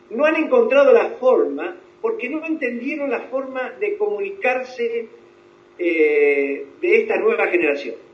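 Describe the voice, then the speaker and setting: A man at an extremely high pitch with very wide pitch swings, a fairly slow pace, and audible room echo. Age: 70s. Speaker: psychologist. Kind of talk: interview. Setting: video call.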